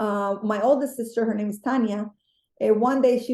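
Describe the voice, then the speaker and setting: Her tone is dark and mellow. A woman with a Spanish accent speaks at a fairly quick pace. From Mexico, Guadalajara. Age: 30s. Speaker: beauty vlogger. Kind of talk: interview.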